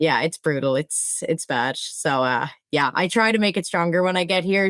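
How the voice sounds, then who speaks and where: The recording is very clean, with a silent background and a dry, close sound with no echo. The pace is moderate. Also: woman. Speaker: fraud operations manager. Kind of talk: interview.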